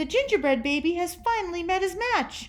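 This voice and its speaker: Squeaky and extremely high in pitch, a woman's put-on character voice moves at a fairly quick pace with very wide pitch swings over light background noise. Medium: read story.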